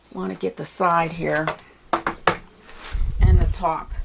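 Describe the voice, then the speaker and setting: Over noticeable background noise, a woman speaks at a very slow pace. Her tone is relaxed. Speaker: painting teacher. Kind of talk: tutorial. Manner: soft-spoken.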